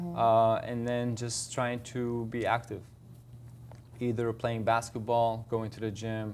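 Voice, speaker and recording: Speaking at a very slow pace, a man keeps a medium pitch and a monotone, flat intonation. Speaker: personal trainer. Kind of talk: interview answer.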